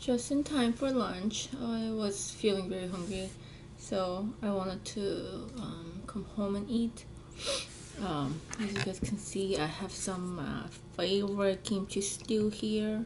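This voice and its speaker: A woman speaks at a very slow pace with ordinary pitch variation. Noticeable background noise runs underneath. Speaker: vlogger. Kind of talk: casual vlog chat. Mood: relaxed, light laughter. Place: home room. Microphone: phone near.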